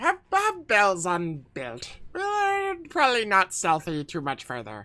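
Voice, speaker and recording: A man's high-pitched, put-on character voice at a fairly slow pace. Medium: actual play. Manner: broken caveman grammar, simple words.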